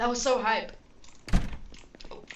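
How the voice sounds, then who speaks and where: A woman talks with lively intonation. The room echo is audible. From Utah, US. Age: 20s. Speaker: gaming streamer. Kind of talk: casual live stream chat and gameplay. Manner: casual, conversational.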